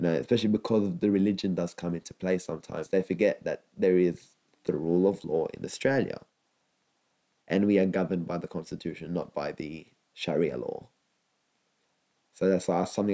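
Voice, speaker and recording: A man's very deep, low voice with vocal fry and a dark, mellow tone, fairly quick in pace, with ordinary pitch variation and long, frequent pauses. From Lebanon. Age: young. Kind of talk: interview answer. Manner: in-your-face.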